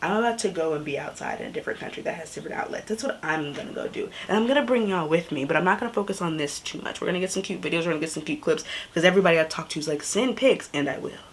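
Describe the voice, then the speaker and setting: Noticeable background noise sits behind a woman of fairly low pitch who talks at a very fast pace with lively intonation and hardly any pauses. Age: young. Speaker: travel vlogger. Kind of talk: casual vlog talk. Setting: Airbnb room, then outdoors. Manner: animated.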